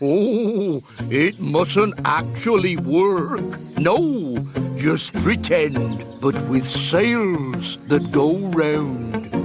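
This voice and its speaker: A cartoonish character voice at middle pitch and a very slow pace, over clear background music. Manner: polite, fussy, self-satisfied.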